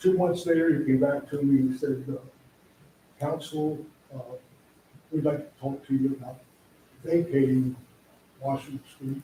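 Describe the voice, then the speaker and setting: A man speaks at a moderate pace in a somewhat breathy, fairly high voice with a dark, mellow tone, his intonation monotone and flat, broken by long, frequent pauses. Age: 80s+. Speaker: business owner speaking at public hearing. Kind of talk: public comment at council meeting. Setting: council meeting room. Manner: halting.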